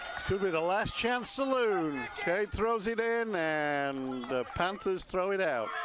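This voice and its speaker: Speaking at a very slow pace with hardly any pauses, a man uses a high pitch and very wide pitch swings, with audible room echo and noticeable background noise. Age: 60s. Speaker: soccer commentator. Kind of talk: live commentary. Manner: animated.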